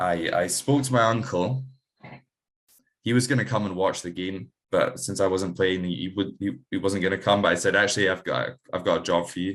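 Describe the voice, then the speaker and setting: A man talks in a Scottish accent with ordinary pitch variation. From Scotland. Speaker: amateur rugby player. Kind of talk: casual interview chat. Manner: halting, many fillers.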